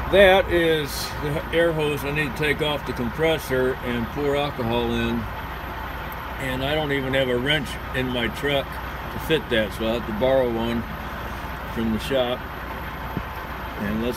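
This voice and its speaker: Against loud background noise, a man speaks at a fairly slow pace, leaving long, frequent pauses. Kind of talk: tutorial. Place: street. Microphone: phone near.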